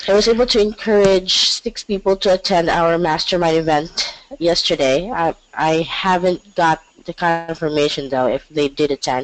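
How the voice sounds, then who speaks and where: Fairly slow delivery with ordinary pitch variation, dry and close with no echo, over noticeable background noise. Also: woman. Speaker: inside sales agent. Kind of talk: group coaching call. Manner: halting.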